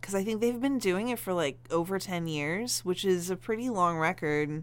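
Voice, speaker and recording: With lively intonation and a fairly low pitch, a woman talks in a plain, everyday voice. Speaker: yoga trainee. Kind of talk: casual chat.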